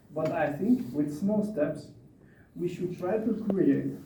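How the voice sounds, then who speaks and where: A man's high-pitched voice with ordinary pitch variation at a fairly slow pace, amid audible room echo and noticeable background noise. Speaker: conference speaker on migration. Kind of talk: panel Q&A answer.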